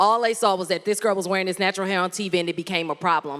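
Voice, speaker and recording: A woman with a Southern US accent talks at a very fast pace in an animated tone. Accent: Southern, country. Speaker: former TV news anchor and content creator. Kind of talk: workshop presentation.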